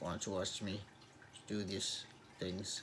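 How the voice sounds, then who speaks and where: In a Danish accent, a man speaks with audible room echo around him. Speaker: YouTuber reviewing movies and TV. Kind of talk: casual vlog outro. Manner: halting, many repetitions.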